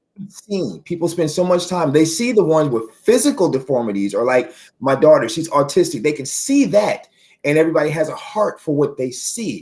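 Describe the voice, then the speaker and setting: This man's voice sits at a fairly high pitch. His tone is animated, with very wide pitch swings. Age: 40s. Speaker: author and poet talking about mental health. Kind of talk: interview. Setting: live stream.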